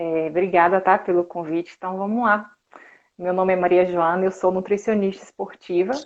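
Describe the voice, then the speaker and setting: This woman speaks at a moderate pace in a medium-pitched voice, her intonation flat and monotone. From Brazil, interior of Bahia (Conceição do Coité). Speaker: sports nutritionist. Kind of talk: live stream interview.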